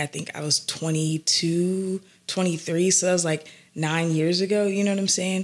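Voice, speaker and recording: The speaker talks at a fairly slow pace with an American accent and fairly even intonation. Noticeable background noise is present. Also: woman. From US South, Atlanta. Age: 30s. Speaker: entrepreneur in the music industry. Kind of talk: casual interview. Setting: live recording.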